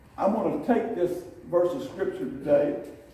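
Amid strong room echo, a man speaks at a high pitch with very wide pitch swings. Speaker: pastor. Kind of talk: sermon. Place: church. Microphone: camera far.

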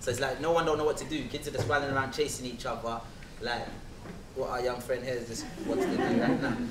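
A man with a London accent talks at a very fast pace. Noticeable background noise runs underneath. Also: medium pitch for a man, fairly even intonation. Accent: London English, multicultural London. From England, south London. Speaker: spoken word performer. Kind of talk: testimony. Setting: stage with audience. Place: hall.

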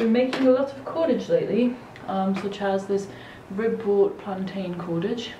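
A woman's speech comes at a fairly slow pace, her pitch varying in an ordinary way, with noticeable background noise behind it. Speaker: vlogger. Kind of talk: casual vlog chat. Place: home room.

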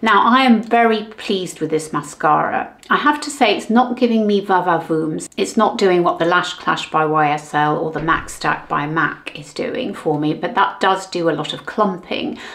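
Speaking with a British accent, a woman uses lively intonation at a medium pitch. She leaves hardly any pauses. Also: moderate pace. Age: 60s. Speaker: beauty vlogger. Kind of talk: product review tutorial. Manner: animated. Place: home room.

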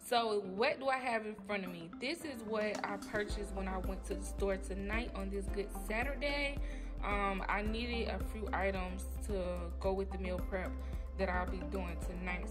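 At a moderate pace a woman talks, with clear music heard behind her. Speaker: cooking vlogger. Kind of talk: casual vlog chat. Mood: cheerful, upbeat. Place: kitchen. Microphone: phone near.

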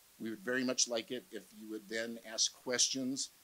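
Bright, sharp male voice with monotone, flat intonation. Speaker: panel moderator. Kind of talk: event introduction to audience. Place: hall. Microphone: handheld.

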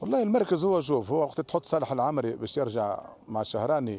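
Lively intonation carries a dark, mellow tone, recorded dry with no echo. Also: man. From Tunisia. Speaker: football coach. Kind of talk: post-match interview. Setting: at the stadium after the match. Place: stadium. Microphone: handheld.

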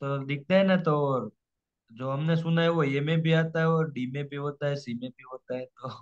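A man with a plain, everyday voice talks at a moderate pace and fairly high pitch, his intonation fairly even but his loudness swinging widely, in a dry, close sound with no echo. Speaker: student preparing for English exam. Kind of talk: online tutoring session.

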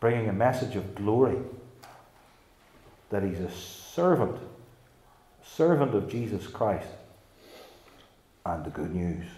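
A man speaks in a dark, mellow tone with vocal fry. Audible room echo surrounds his voice. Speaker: preacher. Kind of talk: sermon. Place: church. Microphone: podium.

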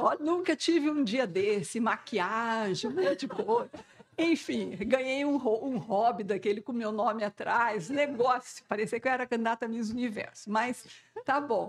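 A woman with a fairly high pitch, lively intonation and a fairly slow pace. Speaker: scientist. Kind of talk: panel talk. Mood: humorous, self-deprecating storytelling. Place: hall.

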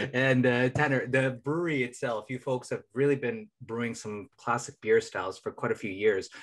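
Here is a man with an unremarkable speaking voice at a medium pitch. He talks at a moderate pace with fairly even intonation and hardly any pauses. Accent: American. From Minnesota, US. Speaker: podcast co-host. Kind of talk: casual chat.

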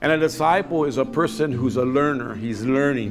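Clear music plays behind a man speaking at a fairly quick pace. His pitch varies in an ordinary way. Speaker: pastor. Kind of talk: sermon. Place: studio.

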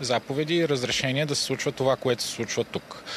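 The speech moves at a moderate pace. The sound is dry with no echo, with light background noise. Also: man. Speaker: municipal councillor. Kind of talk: heated debate. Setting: outdoors. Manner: animated. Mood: indignant, accusatory. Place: street. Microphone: handheld.

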